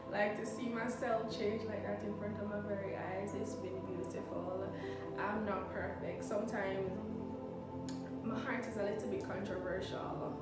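Loud music plays behind a woman speaking at a fairly slow pace, with audible room echo. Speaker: content creator. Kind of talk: casual vlog chat. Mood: warm, reflective. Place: kitchen. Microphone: phone near.

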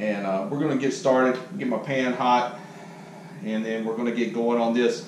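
Audible room echo and light background noise accompany a man speaking at a moderate pace. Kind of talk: tutorial. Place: kitchen. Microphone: camera far.

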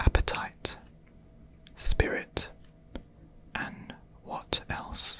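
A man whispers, his words coming very slowly. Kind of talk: casual thinking aloud, reading quiz questions. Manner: soft close ASMR murmur.

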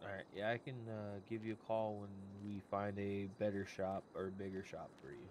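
With an ordinary speaking voice, a man keeps his fairly low pitch on fairly even intonation and hardly pauses at all. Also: moderate pace. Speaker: roleplay player acting as city official. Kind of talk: in-game roleplay dialogue.

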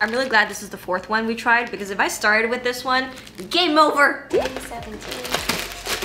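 Faint music plays behind a woman speaking at a high pitch. Her pitch varies in an ordinary way. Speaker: food vlogger. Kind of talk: casual vlog chat. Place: kitchen.

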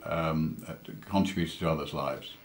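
A man talks with a British accent. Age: 60s. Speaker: entrepreneur, angel investor, cancer patient. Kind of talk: interview answer. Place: home room. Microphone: webcam.

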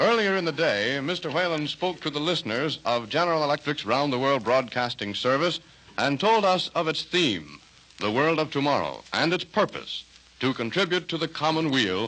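A man's bright, sharp voice carries lively intonation. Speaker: radio announcer. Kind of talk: 1930s radio announcer introduction, formal broadcast style. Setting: radio studio. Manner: formal, polished, slightly stilted. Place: studio. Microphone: old recording.

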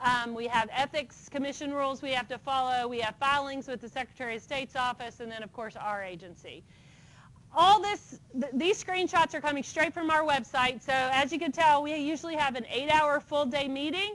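A woman with an American accent speaks at a high pitch with lively intonation and a fairly quick pace. Her loudness swings widely. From West Virginia, US. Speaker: engineering licensing board director. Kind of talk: lecture. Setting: lecture hall with audience. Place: classroom.

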